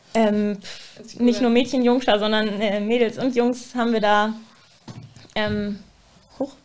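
A woman with a fairly high pitch, a monotone, flat intonation and long, frequent pauses. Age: 20s. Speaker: student teacher. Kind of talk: casual chat.

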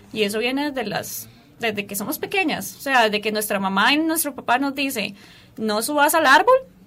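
Her pace is moderate and her intonation lively. This woman speaks at a high pitch. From Costa Rica, Turrialba. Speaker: dancer and parkour instructor. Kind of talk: radio interview.

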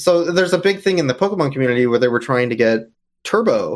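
A man with an unremarkable speaking voice, medium pitch and lively intonation at a moderate pace, on a very clean recording with a silent background. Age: 30s. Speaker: speedrunner and charity marathon organizer. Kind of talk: casual interview.

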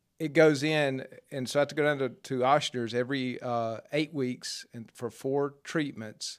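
A man with a Mississippi accent speaks at a fairly slow pace in a medium pitch. His intonation stays fairly even, and the recording is very clean with a silent background. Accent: Southern US (Mississippi). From US South, Jackson, Mississippi. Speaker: churchgoer sharing his story. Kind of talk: interview testimony. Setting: pastor's office.

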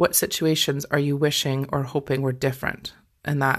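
A woman with a Scottish accent speaks at a moderate pace in a very deep, low pitch with monotone, flat intonation. The recording is very clean and the background silent. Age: 40s. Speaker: life coach and podcast host. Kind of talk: solo podcast monologue. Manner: casual, conversational.

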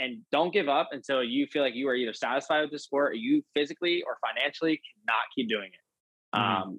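In an American accent, a man talks at a fairly quick pace with a fairly high pitch and an ordinary speaking voice. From Pennsylvania. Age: 20s. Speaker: professional motocross racer. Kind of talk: casual interview.

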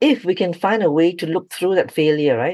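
The intonation is lively. Delivery comes at a fairly quick pace. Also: woman. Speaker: founder of an ADHD support organisation. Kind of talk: interview. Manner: fast.

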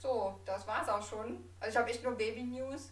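Amid noticeable background noise and audible room echo, a woman talks fairly slowly. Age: 20s. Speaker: podcast host. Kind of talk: casual chat.

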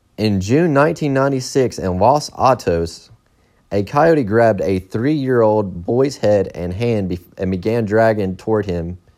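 A plain, everyday voice from a man, fairly low in pitch with lively intonation, on a very clean recording with a silent background. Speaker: podcaster reading Wikipedia articles. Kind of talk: casual true-crime reading of a Wikipedia article, with profane asides. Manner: casual, irreverent.

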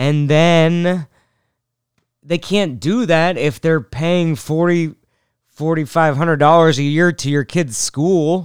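In a plain, everyday voice, a man with an American accent speaks at a fairly slow pace and fairly high pitch, with ordinary pitch variation, on a very clean recording with a silent background. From Seattle, US Pacific Northwest. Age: 30s. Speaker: comedian. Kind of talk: casual monologue.

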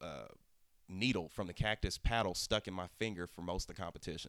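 Speaking very fast, a man with a very deep, low voice uses ordinary pitch variation. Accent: American. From Oklahoma. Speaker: cooking competition contestant. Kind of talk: casual interview chat.

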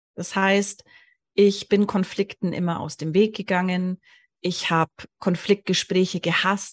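In a dry, close sound with no echo, a woman speaks at a fairly slow pace in a somewhat breathy voice. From Allgäu, southern Germany. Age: 40s. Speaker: hypnosis coach. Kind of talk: interview storytelling.

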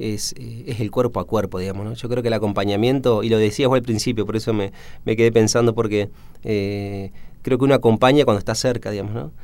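This man's delivery moves fairly quickly, and his intonation stays fairly even. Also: medium pitch for a man. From Argentina, Entre Ríos. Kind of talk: radio interview. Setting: radio studio. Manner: hesitant, many fillers.

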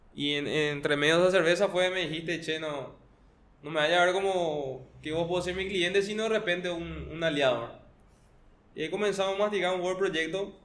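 With audible room echo, a man speaks fairly quickly at a high pitch and with fairly even intonation. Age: 20s. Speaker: chef and startup founder. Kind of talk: interview.

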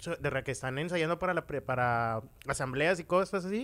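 Very fast speech from a man with a Mexican accent, fairly high-pitched for a man, with very wide pitch swings, on a very clean recording with a silent background. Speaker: podcast co-host. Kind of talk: casual chat.

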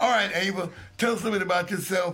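Over noticeable background noise, a man with a high pitch talks at a fairly quick pace. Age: 60s. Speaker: radio host. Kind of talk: casual chat. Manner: animated.

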